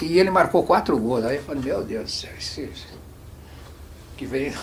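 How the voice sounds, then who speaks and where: A man speaks in a plain, everyday voice at a fairly high pitch. His intonation is lively and his pace moderate. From Santos, Brazil. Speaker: former footballer and coach. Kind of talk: oral history interview answer. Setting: studio.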